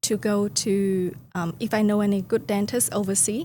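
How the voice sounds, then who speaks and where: Very slowly, a woman speaks with a Vietnamese accent. Her pitch is medium, with ordinary variation. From Vietnam (Hanoi, from the countryside). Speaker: company founder. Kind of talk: podcast interview. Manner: hesitant, frequent fillers.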